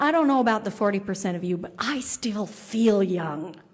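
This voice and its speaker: There's audible room echo as a woman with a medium-pitched voice talks at a fairly slow pace with lively intonation. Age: 60s. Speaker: keynote speaker. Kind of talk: keynote speech. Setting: conference luncheon with audience.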